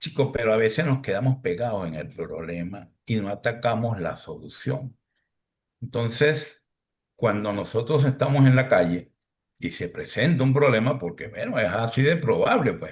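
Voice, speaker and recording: A man's somewhat breathy voice at a moderate pace. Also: medium pitch for a man, lively intonation. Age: 60s. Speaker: podcast host. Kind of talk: podcast panel discussion.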